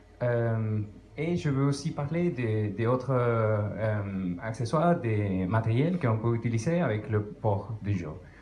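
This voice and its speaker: Speaking at a very slow pace, a man with a strong non-native accent uses lively intonation at a medium pitch. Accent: strong foreign. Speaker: conference speaker on retro computing. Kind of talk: technical talk to audience. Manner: halting, many hesitations.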